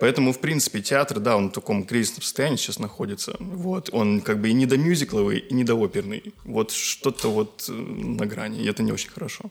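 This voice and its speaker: Using a normal speaking voice, a man talks at a fairly quick pace with medium pitch and hardly any pauses. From Karelia, Russia. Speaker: musicologist, graduate student. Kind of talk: casual chat.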